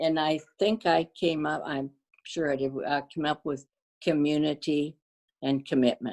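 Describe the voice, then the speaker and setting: In a Canadian accent, a woman with a very deep, low pitch talks at a fairly slow pace with fairly even intonation. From western Canada, Cloverdale, Surrey BC. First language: Danish. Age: 80s+. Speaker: community volunteer. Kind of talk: interview.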